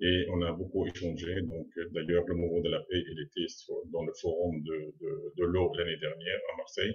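A man with an Arabic accent speaks at a moderate pace in a very deep, low, somewhat breathy voice with fairly even intonation. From Palestine, Gaza. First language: Arabic (speaking French). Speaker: university professor and writer. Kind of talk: interview.

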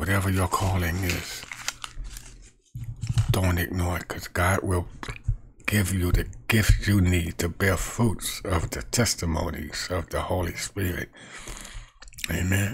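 A man with a low pitch talks at a slow pace in fairly even intonation, with vocal fry and long, frequent pauses.

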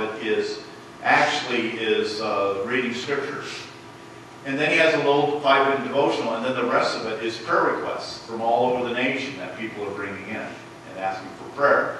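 A man at a fairly quick pace with ordinary pitch variation, amid strong room echo and light background noise. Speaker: pastor. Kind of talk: sermon. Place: church.

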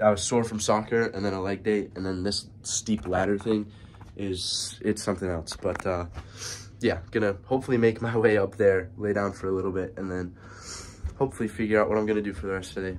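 A man speaks fairly quickly in a monotone, flat delivery with an American accent. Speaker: study abroad student. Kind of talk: casual vlog talk to camera. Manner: low-energy.

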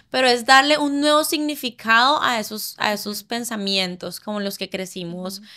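Bright and sharp in tone, a woman with a Cali Colombian accent speaks at a fairly high pitch. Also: quiet background. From Colombia, Cali. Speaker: chef and food blogger; food blogger. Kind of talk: casual chat. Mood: warm, reflective. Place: studio. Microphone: studio mic.

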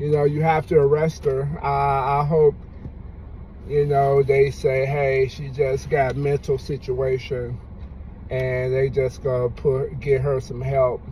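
At a very slow pace, a man speaks in a flat monotone, the sound dry with no echo and light background noise behind him. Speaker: vlogger. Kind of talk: casual vlog commentary. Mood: relaxed but opinionated. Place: car. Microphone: phone near.

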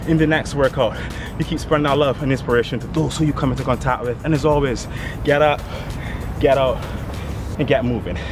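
Over music in the background, a man talks very fast in a monotone, flat way, with a dry sound and no echo. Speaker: fitness trainer. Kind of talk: workout tutorial and outro to camera. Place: garden. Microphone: camera far.

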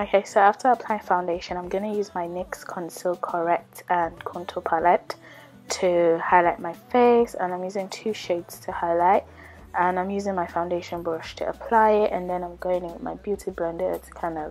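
A woman at a moderate pace with fairly even intonation, faint music in the background. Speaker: beauty vlogger. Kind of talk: tutorial. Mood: calm, friendly.

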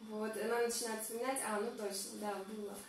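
Audible room echo with light background noise. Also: woman. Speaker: vlogger hosting a live stream. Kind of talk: casual live-stream chat. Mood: cheerful, laughing. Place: bathroom.

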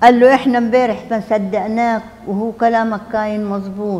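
In a Palestinian accent, a woman speaks at a fairly slow pace with monotone, flat intonation. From Palestine, al-Zeeb near Akka. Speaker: refugee and survivor. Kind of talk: testimony. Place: meeting room. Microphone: lapel.

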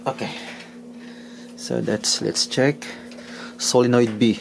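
A man's slow, slightly mellow voice with vocal fry and little pitch movement, over faint background noise

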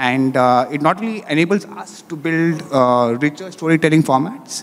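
A man with ordinary pitch variation at a moderate pace. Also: fairly high pitch for a man.

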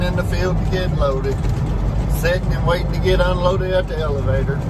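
This man's delivery is fairly quick. Loud noise is present in the background. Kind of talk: casual vlog chat. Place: car. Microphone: camera far.

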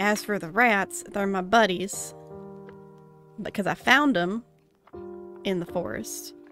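A gruff, put-on character voice at a middle pitch speaks at a fairly slow pace with long, frequent pauses. Faint music plays in the background. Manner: gruff, defensive, nervous; grudging, crumbling under pressure.

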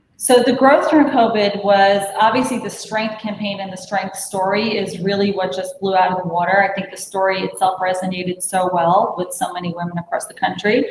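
In an American accent, a woman talks at a fairly quick pace with ordinary pitch variation, amid audible room echo and light background noise. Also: hardly any pauses. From Brooklyn, New York; New York. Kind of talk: sales pitch. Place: home room. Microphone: video call.

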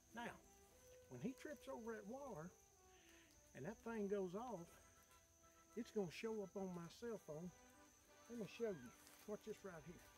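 Clear music plays behind a man speaking at a high pitch. He keeps a moderate pace with long, frequent pauses. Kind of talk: tutorial. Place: forest.

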